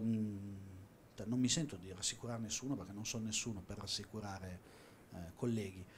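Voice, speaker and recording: The speaker is a man. His voice sounds somewhat breathy. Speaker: auction house watch specialist. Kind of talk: panel discussion.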